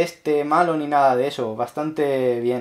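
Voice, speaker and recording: A man with a fairly high voice speaks at a fairly slow pace in an animated tone, his pitch varying in an ordinary way against a quiet background. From Spain. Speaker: tech YouTuber. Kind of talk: unboxing tutorial. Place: home room.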